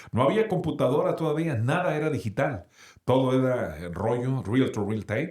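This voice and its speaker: Speaking at a moderate pace, a man's pitch swings very widely. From Sonora, Mexico. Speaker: radio announcer. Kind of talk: interview answer.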